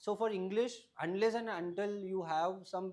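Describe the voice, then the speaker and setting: A man with a Keralan accent speaks with ordinary pitch variation. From Tamil Nadu, India (family from Kerala). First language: Malayalam. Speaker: civil service exam topper. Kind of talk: advice talk to students. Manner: halting, many fillers.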